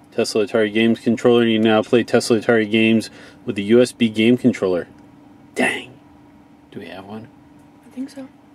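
In a monotone, flat intonation, a man speaks at a fairly quick pace. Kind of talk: casual vlog chat. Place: car.

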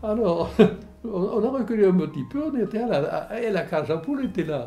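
A man talks at a high pitch and a moderate pace. His tone is dark and mellow, with very wide pitch swings. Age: 80s+. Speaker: war veteran. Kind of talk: interview answer. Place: home room.

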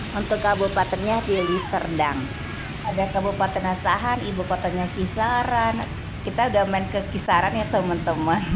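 Noticeable background noise sits behind a woman who talks at a moderate pace with ordinary pitch variation. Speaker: travel vlogger. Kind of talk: casual travel vlog narration. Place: cafe. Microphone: phone near.

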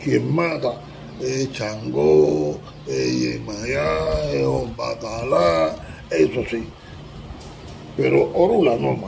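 With a Cuban accent and a fairly low voice, a man speaks at a very slow pace with long, frequent pauses and very wide pitch swings, against noticeable background noise. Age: 80s+. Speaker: Ifa priest (babalawo). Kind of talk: religious teaching talk to camera. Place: home room. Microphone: phone near.

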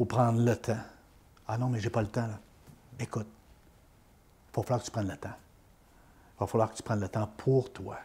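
A man talks at a moderate pace. His voice is somewhat breathy with a dark, mellow tone. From Quebec, Beauce region; Quebec. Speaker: former radio host; interviewee, life coach or author. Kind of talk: interview, life story. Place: home room. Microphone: lapel.

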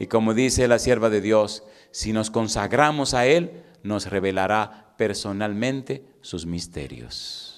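Very slow delivery with a lively, bouncing intonation. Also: man, fairly low pitch for a man. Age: 40s. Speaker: pastor. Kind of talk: sermon. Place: church. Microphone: handheld.

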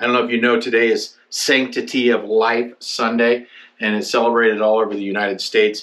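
The tone is bright and sharp. Intonation stays fairly even. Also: man. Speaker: youth pastor. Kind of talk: sermon. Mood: earnest, emotional. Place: office.

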